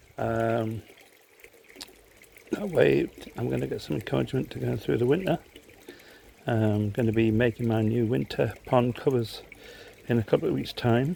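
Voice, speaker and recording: A man speaks at a moderate pace and medium pitch, with very wide pitch swings. He leaves long, frequent pauses over noticeable background noise. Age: 70s. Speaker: koi pond hobbyist video maker. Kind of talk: casual tutorial vlog.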